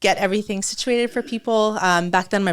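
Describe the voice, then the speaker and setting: A woman with a Californian accent speaks at a very fast pace. Her voice sits fairly high, with ordinary pitch variation. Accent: Californian American English. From California, after early childhood in Lebanon. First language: Arabic and French. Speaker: entrepreneur and floral designer. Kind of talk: podcast interview.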